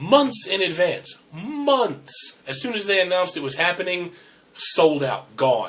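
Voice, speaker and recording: A man's animated, high-pitched voice with very wide pitch swings at a fairly slow pace, over noticeable background noise. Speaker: podcast host. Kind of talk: casual chat.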